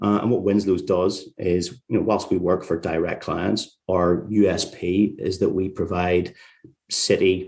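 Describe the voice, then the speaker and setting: This man has a very deep, low pitch and speaks with a Northern Irish accent. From Northern Ireland, Carrickfergus near Belfast. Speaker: tax lawyer, firm founder. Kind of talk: interview.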